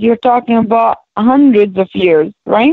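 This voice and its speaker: This woman talks at a fairly slow pace in a high pitch, with an Arabic accent. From Palestinian, raised in Jordan and Saudi Arabia. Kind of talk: interview. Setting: radio show. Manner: halting.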